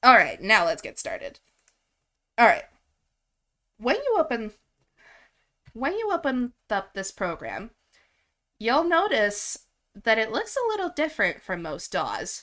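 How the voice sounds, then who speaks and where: A woman speaks in a raised, projected voice with high pitch and a bright, sharp tone. Her pitch swings very widely at a fairly slow pace, with long, frequent pauses. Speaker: music software instructor. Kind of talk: tutorial. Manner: halting, trips over words.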